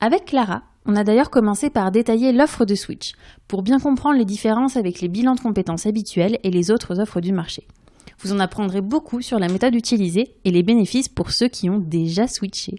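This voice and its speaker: A woman's fairly high voice with a dark, mellow tone, ordinary pitch variation and a fairly quick pace. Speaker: podcast host. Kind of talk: interview.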